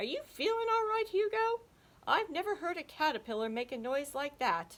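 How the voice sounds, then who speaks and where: At a moderate pace, a put-on character voice squeaks at an extremely high pitch with very wide pitch swings. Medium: read story.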